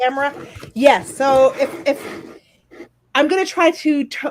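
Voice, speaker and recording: A woman speaks loudly in a high voice. Her pace is fairly slow. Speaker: crafting livestream host. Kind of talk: casual chat.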